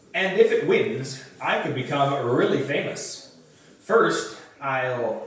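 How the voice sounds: Simply a natural reading voice.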